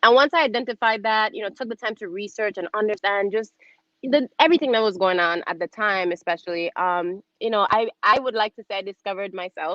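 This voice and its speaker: Speaking with an American accent, a woman keeps a fairly quick pace and a fairly high pitch with ordinary pitch variation. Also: big swings in loudness. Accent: Crucian accent, toned down in US. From US Virgin Islands, St. Croix. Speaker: television host and producer, former pageant queen. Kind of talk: casual interview chat.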